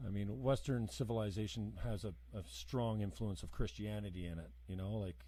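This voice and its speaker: Somewhat breathy and dark, mellow in tone, the voice moves at a fairly quick pace with lively intonation. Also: man, fairly low pitch for a man. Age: 50s. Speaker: podcast host. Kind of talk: heated debate.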